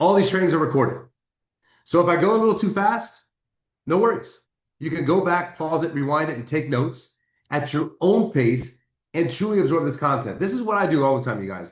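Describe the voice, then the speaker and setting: This man's intonation is lively. He speaks fairly quickly. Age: 50s. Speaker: network marketing team leader. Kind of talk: motivational training call. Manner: fast; animated.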